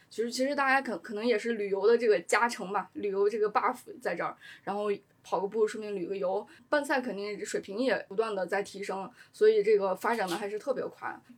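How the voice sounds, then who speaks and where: At a fairly quick pace, a woman uses a normal speaking voice with fairly high pitch and ordinary pitch variation. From China, Shaanxi, small city near Xi'an. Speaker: sports journalist. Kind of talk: casual chat.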